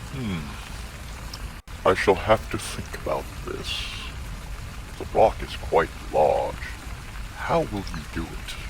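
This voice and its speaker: A man puts on a character voice and talks fairly slowly as loud noise fills the background. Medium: audio drama. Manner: sly, deliberate.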